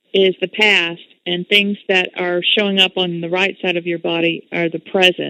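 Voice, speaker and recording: A woman with a normal speaking voice and medium pitch talks at a moderate pace. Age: 40s. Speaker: internet radio host. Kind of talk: radio interview. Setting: internet radio show.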